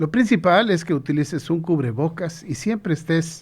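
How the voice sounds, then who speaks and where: At a fairly slow pace and with ordinary pitch variation, the speech comes through on a very clean recording with a silent background. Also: man. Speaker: radio show host. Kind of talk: radio talk show hosting.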